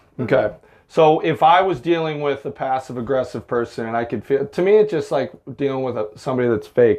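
Speaking in a plain, everyday voice with an American accent, a man uses lively intonation, a fairly high pitch and a fairly quick pace. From US Midwest, Illinois. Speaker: podcast co-host. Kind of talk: casual chat. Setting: sauna.

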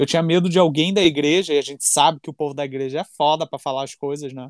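A man with an unremarkable speaking voice talks at a fairly quick pace in a fairly high pitch with ordinary pitch variation, on a very clean recording with a silent background and a dry, close sound with no echo. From Rio de Janeiro, Campo Grande. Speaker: podcast host. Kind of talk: casual chat.

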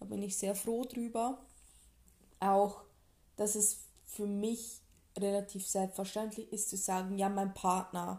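Somewhat breathy and dark, mellow in tone, a woman at medium pitch talks at a very slow pace in a monotone, flat intonation, with long, frequent pauses. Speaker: podcast co-host. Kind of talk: casual chat. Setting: home living room.

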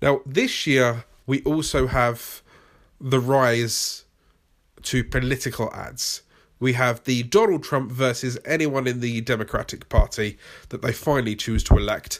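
Recorded very cleanly against a silent background, a man speaks fairly slowly at medium pitch with a British accent. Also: fairly even intonation. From Britain. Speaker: YouTube creator and podcast host. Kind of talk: solo podcast monologue, tutorial. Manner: humorous, casual, rambling.

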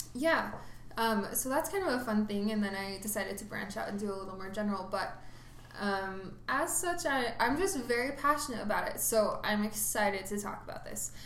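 At a fairly quick pace and fairly high pitch, a woman speaks with ordinary pitch variation amid noticeable background noise and audible room echo. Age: 20s. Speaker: podcast host. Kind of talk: casual chat.

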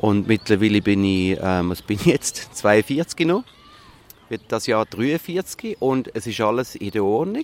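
At a fairly slow pace, a medium-pitched man speaks with lively intonation, the sound dry and close with no echo, over noticeable background noise. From Switzerland, Zurich. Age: 40s. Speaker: musical performer. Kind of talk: interview. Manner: hesitant, many fillers.

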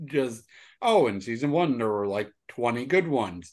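A man speaks with an unremarkable speaking voice at a medium pitch. His pace is fairly slow and his intonation lively, over a quiet background. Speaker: guest. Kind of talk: casual banter podcast chat.

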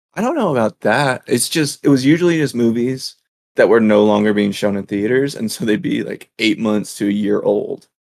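A plain, everyday voice with ordinary pitch variation and a moderate pace. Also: man, medium pitch for a man. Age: 20s. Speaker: law student and podcast co-host. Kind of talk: casual chat.

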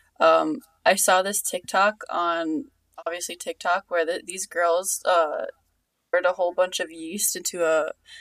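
Moderately paced speech from a woman in an American accent, the sound dry and close with no echo. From Long Island, New York. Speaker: podcast co-host. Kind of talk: casual chat.

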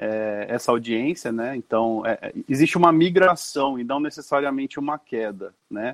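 A man with a normal speaking voice, ordinary pitch variation, and a dry, close sound with no echo. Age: 40s. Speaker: advertising media director. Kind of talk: interview.

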